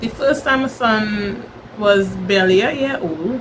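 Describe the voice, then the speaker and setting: A woman in a Trinidadian accent, medium pitch, lively intonation and a fairly slow pace, with noticeable background noise. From Trinidad and Tobago. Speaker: vlogger. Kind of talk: personal vlog monologue.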